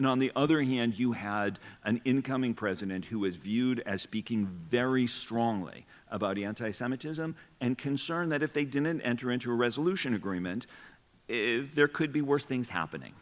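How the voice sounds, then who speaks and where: A man's medium-pitched voice with ordinary pitch variation, in a very clean recording with a silent background. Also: fairly quick pace. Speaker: civil rights lawyer, former federal official. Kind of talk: panel discussion. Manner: fast.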